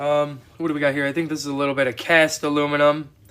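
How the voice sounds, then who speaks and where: Against noticeable background noise, a man speaks with an American accent. His pitch is fairly high and his pace moderate. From Wisconsin. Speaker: scrap metal hobbyist streamer. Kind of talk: casual livestream chat. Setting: outdoors in a cold shop. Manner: relaxed, with fillers.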